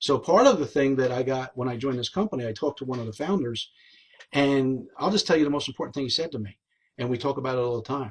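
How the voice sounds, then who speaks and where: Somewhat breathy and at a very fast pace, a man with a New Jersey accent speaks at medium pitch with ordinary pitch variation. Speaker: network marketing team leader. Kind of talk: live stream talk. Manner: animated.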